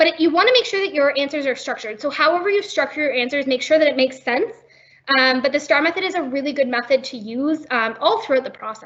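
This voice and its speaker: A woman's high-pitched voice at a very fast pace, with lively intonation. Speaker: workshop presenter on job competitions. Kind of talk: webinar presentation. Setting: online webinar.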